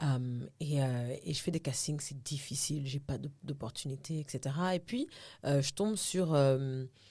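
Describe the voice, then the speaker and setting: A somewhat breathy voice at a fairly slow pace, with ordinary pitch variation. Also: woman, very deep, low pitch for a woman. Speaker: actress and TV host. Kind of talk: podcast interview. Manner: casual, code-switching into English.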